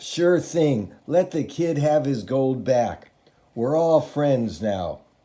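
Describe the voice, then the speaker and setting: Putting on a character voice, a man speaks raspily at a very slow pace with a fairly high pitch and lively intonation. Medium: read story. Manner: wheedling.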